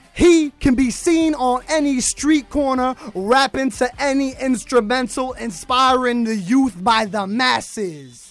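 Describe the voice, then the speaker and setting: Over noticeable background noise, a man with an American accent talks at a very slow pace in an extremely high voice with ordinary pitch variation. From US Northeast, Connecticut. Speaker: educator and spoken word poet. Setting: radio studio. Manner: rhythmic, punchy, cadenced, emphatic delivery with internal rhyme.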